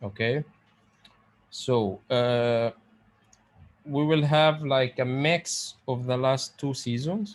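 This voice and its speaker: A man of medium pitch with a non-native accent. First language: Arabic. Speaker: pharmacist lecturer. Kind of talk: online lecture. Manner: halting.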